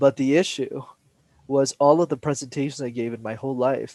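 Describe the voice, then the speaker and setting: This man has a fairly high pitch and a Montreal accent, recorded with a dry, close sound with no echo. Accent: Canadian English (Montreal). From Montreal, Quebec. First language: Tamil. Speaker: public speaking coach. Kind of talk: interview. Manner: animated.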